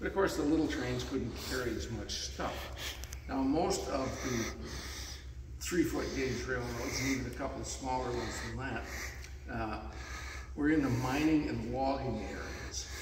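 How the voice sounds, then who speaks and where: Over noticeable background noise and audible room echo, a man speaks at a moderate pace with long, frequent pauses. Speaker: railroad volunteer tour guide. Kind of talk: guided shop tour. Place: workshop. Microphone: camera far.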